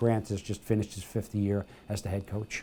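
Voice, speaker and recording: A man with an American accent speaks in a dark, mellow tone. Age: 70s. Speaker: retired basketball coach. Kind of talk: interview. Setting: library. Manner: halting, many fillers.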